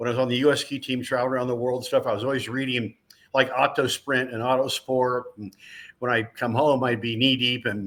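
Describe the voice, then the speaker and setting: Here is a man with a normal speaking voice at a medium pitch. He talks at a moderate pace. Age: 60s. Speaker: racing driver turned motorsports broadcaster. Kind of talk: interview. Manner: casual, conversational.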